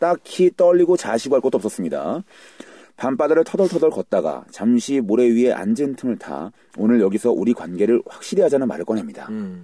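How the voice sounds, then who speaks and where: Using very wide pitch swings, a man with a dark, mellow tone speaks at a medium pitch and a fairly quick pace. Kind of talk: casual banter podcast. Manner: animated, joking.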